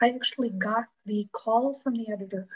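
With an American accent, a woman talks at a moderate pace, somewhat breathy and with ordinary pitch variation. The sound is dry and close, with no echo. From US Northeast, western New York (Buffalo area). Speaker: romance novelist. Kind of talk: interview on writing craft.

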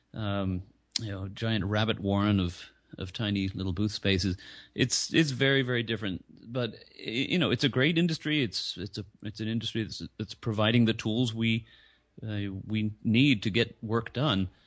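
Over a quiet background, a man talks at a moderate pace in a fairly low pitch with ordinary pitch variation. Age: 50s. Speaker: footwear and office furniture entrepreneur. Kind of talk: interview. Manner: hesitant, many fillers and repeats.

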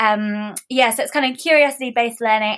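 A woman's words come at a moderate pace in a normal speaking voice, with ordinary variation in her pitch. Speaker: author and home-education activist. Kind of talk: casual interview chat.

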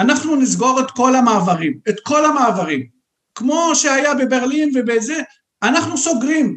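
Holding a very even loudness, a man with an extremely high pitch talks at a fairly slow pace with ordinary pitch variation. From Lebanon, Beirut. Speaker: Middle East researcher. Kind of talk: interview.

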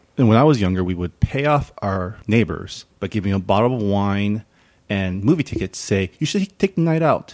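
In a dry, close sound with no echo on a very clean recording with a silent background, a man talks at a moderate pace and a fairly low pitch with lively intonation. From California, San Gabriel. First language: non-English home language. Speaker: podcast host. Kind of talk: casual chat.

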